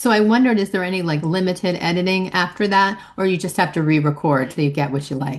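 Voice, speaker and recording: With hardly any pauses, a woman speaks at a very fast pace in a fairly low voice with ordinary pitch variation. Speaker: educator attending workshop. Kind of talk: question in workshop discussion.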